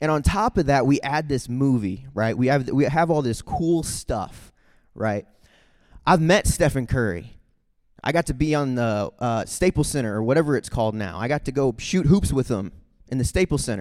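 Speaking with a Midwestern American accent, a man uses a medium pitch. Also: lively intonation, moderate pace, very clean recording, silent background. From US Midwest, St. Charles, Missouri. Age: 20s. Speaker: youth speaker. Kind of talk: testimony. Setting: stage with audience. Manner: direct.

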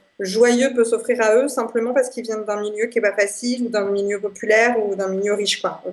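In a plain, everyday voice, a woman talks at a moderate pace with a fairly high pitch. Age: 20s. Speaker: association founder and traveller. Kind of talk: radio interview.

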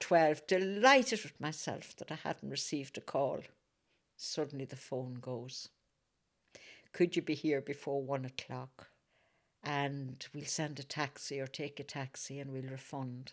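A woman's very deep, low voice at a fairly slow pace, with big swings in loudness, in a very clean recording with a silent background. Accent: Northern Irish. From Northern Ireland, Fermanagh. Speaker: activist. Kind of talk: interview.

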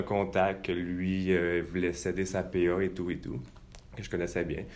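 Audible room echo surrounds a man speaking at a moderate pace in a very deep, low voice. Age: 20s. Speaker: real estate investor. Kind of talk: interview. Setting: studio.

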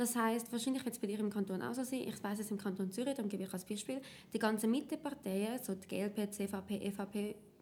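A woman with a fairly high voice speaks in a dark, mellow tone, somewhat breathy, with fairly even intonation. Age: 20s. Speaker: party youth activist. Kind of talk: tutorial.

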